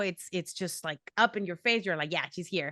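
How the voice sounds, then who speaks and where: Against a quiet background, a woman speaks in a bright, sharp tone at medium pitch with ordinary variation, in a dry, close sound with no echo. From Mexico. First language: Spanish. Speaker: professional wrestler. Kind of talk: interview.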